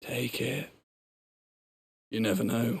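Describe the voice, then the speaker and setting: Here a man puts on a character voice. It is raspy and medium in pitch. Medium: video game. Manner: dry, sardonic.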